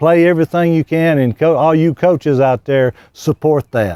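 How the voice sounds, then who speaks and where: A man talks at a moderate pace in a dark, mellow tone. The sound is dry and close with no echo, on a very clean recording with a silent background. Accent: Southern US. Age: 60s. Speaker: retired high school football coach. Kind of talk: interview.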